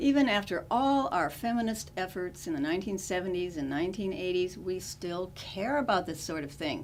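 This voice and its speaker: A woman with an American accent, medium pitch, lively intonation and a moderate pace, in an unremarkable speaking voice. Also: hardly any pauses. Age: 60s. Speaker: comedic monologuist. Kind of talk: humorous monologue to camera.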